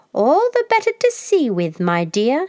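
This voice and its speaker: This put-on character voice is high, squeaky and hoarse, with very wide pitch swings. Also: moderate pace. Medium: read story. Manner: sly, coaxing.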